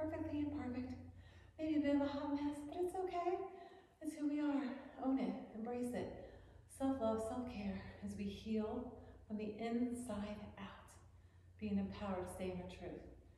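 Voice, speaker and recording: Speaking at a moderate pace, a woman with a high voice uses lively intonation and pauses often and at length. Strong room echo and light background noise fill the recording. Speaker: yoga instructor. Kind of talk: guided yoga class, instructing poses. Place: home room.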